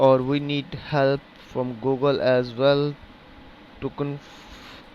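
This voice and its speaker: Speaking at a very slow pace in a Pakistani accent, a man has fairly high pitch and monotone, flat intonation. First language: Urdu. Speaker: programming tutor. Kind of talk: tutorial. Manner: hesitant, halting with fillers.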